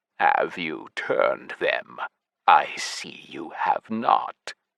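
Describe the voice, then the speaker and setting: A man's put-on character voice, growling at an extremely high pitch and a very slow pace. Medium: read story. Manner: cold, curt.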